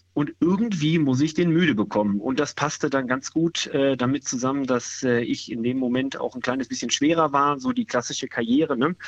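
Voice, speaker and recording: With an unremarkable speaking voice, a man talks fairly quickly at a fairly high pitch with hardly any pauses, in a dry, close sound with no echo. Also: ordinary pitch variation. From Ruhr area, Dortmund. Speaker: caller, amateur runner. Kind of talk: casual chat. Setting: phone call.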